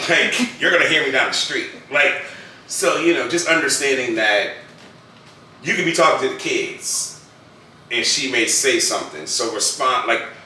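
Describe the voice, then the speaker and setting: With long, frequent pauses, a man talks at a moderate pace. Audible room echo and noticeable background noise surround him. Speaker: husband playing a couples card game. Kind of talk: casual chat. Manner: loud.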